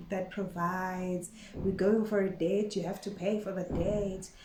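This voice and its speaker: A woman's somewhat breathy, dark, mellow voice at medium pitch, monotone and flat, at a fairly slow pace with audible room echo. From Eswatini (Swati-speaking). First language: Siswati. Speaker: vlogger. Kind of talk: casual vlog monologue. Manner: code-switching with Siswati.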